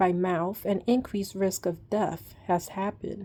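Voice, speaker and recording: A somewhat breathy woman's voice of medium pitch, with a dark, mellow tone and a fairly slow pace. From New York. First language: Spanish (bilingual from childhood). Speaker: vlogger sharing treatment experience. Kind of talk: casual talk reading out drug label. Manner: hesitant, many ums.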